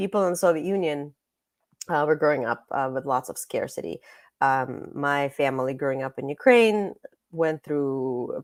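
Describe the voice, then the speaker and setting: Recorded very cleanly against a silent background, a woman with a very deep, low pitch speaks at a moderate pace. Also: ordinary pitch variation. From Russia. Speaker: author. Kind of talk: interview.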